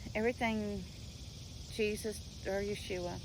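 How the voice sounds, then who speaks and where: A woman is speaking. She has a Southern US accent. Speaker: homesteading and faith vlogger. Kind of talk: casual monologue on faith and folklore.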